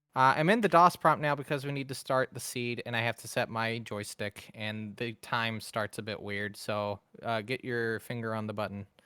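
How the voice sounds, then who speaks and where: A man speaks with a bright, sharp tone, ordinary pitch variation, big swings in loudness and hardly any pauses. The recording is very clean with a silent background, and the sound is dry and close with no echo. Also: moderate pace. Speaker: speedrunner. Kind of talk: live gameplay commentary. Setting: livestreamed marathon.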